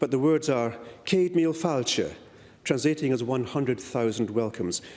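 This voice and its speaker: This speaker has a slight Scottish accent and a lively intonation. The pace is moderate. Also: man. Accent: slight Scottish lilt. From Malaysia and Perth, Western Australia, Scottish family. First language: Malay. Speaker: politician. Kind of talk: parliamentary speech. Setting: parliament chamber. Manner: formal.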